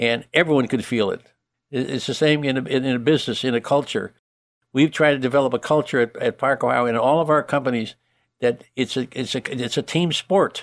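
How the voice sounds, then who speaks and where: On a very clean recording with a silent background and a dry, close sound with no echo, a man with an American accent speaks fairly quickly at a medium pitch with ordinary pitch variation. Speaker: entrepreneur. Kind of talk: interview. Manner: halting, repeats words.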